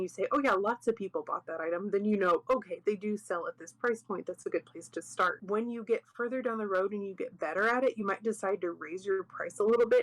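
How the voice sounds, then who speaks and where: A soft-spoken woman at a medium pitch and a fairly quick pace, in a dry, close sound with no echo. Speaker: craft workshop teacher. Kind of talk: informal workshop class. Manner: quieter, soft; casual, conversational.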